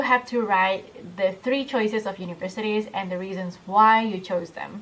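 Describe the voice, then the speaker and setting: A woman's intonation is lively and her pace moderate, with noticeable background noise present. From Indonesia. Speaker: scholarship student vlogger. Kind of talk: tutorial. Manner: casual, with frequent fillers.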